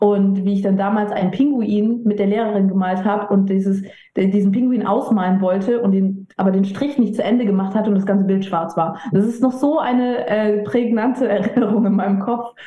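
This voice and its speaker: Medium-pitched female voice at very even loudness with hardly any pauses, audible room echo and noticeable background noise. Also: fairly even intonation, moderate pace. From mixed: Italy, Papua New Guinea, US, China, Germany. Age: 30s. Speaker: edtech founder and managing director. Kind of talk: casual interview.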